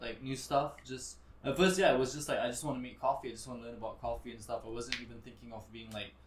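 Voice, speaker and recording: A man talks at a very fast clip with hardly any pauses, ordinary pitch movement and a somewhat breathy quality, his voice carrying audible room echo. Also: medium pitch for a man. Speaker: restaurant general manager, former model. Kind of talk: casual chat. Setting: live podcast. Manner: casual, hesitant with fillers.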